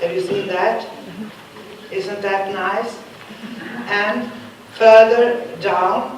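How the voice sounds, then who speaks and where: Speaking at a very slow pace in a Swedish accent, a woman is heard with audible room echo and noticeable background noise. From Sweden. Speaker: professor. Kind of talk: lecture. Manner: halting.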